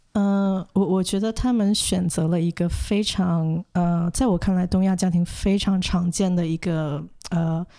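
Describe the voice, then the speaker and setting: Recorded very cleanly against a silent background, a woman speaks in a dark, mellow tone with fairly even intonation, very even loudness and hardly any pauses. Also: medium pitch for a woman, fairly slow pace. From Hong Kong and mainland China. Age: 20s. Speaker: social worker and counsellor. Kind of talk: interview. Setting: studio. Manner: halting, many fillers.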